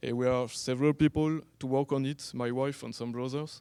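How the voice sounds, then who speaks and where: A man's medium-pitched voice with a French accent, a dark, mellow tone, monotone, flat intonation, and a moderate pace. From France. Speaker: online evangelist. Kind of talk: conference talk. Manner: halting.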